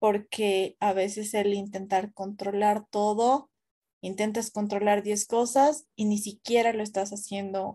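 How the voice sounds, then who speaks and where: A woman's medium-pitched voice with a dark, mellow tone, monotone, flat intonation and a very slow pace. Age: 20s. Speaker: content creator. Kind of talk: casual chat.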